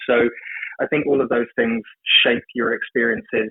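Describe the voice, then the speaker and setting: A man speaks with an English accent. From England, London. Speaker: ceremonial magician. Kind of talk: podcast interview. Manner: hesitant, many fillers.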